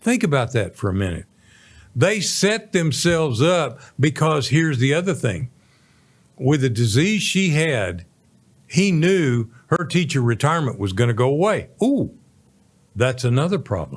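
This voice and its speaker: This very clean recording with a silent background carries a voice with vocal fry and very wide pitch swings. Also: man, fairly high pitch for a man. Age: 70s. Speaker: radio show host, Navy veteran and senior adviser. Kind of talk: casual financial advice talk. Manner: animated.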